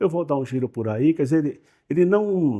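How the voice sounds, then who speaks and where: A man's fairly high pitch with very wide pitch swings and a dark, mellow tone, on a very clean recording with a silent background. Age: 70s. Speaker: company owner. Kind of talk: interview. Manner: halting.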